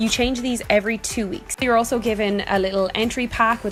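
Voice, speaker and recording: With an Irish accent, a woman talks at a fairly quick pace and with fairly even intonation. Faint music plays in the background. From Ireland. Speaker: influencer vlogger. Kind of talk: product review vlog. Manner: chatty. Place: home room. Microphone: phone near.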